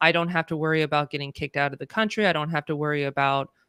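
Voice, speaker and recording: With a Californian accent, a woman speaks in a bright, sharp tone, with a dry, close sound with no echo on a very clean recording with a silent background. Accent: Californian American. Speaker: DEI consultant. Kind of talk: interview conversation. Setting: live stream.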